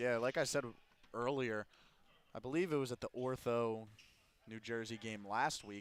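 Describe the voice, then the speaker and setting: With ordinary pitch variation, a man talks in a medium register. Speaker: basketball color commentator. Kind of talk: live commentary. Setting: in a gym, on headset.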